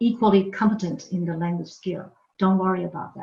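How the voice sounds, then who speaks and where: Here a woman speaks with a Chinese accent. Her pitch is medium, and her intonation monotone and flat. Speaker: university language professor. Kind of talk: lecture. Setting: online workshop recorded from home. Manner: frequent filler 'okay'.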